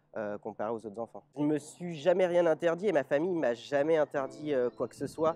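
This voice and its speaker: This man talks at a fairly quick pace with hardly any pauses, his fairly high-pitched voice lively in intonation and heard dry and close with no echo. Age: 20s. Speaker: interviewee, double lung transplant patient with cystic fibrosis. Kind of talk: personal testimony interview. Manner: hesitant, frequent filler 'euh'.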